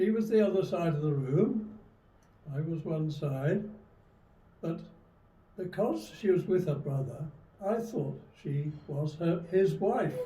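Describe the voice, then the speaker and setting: With audible room echo, a man with a high pitch and a dark, mellow tone speaks at a fairly slow pace, his intonation lively, leaving long, frequent pauses. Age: 90s. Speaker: retired army veteran. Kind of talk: interview testimony. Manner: halting.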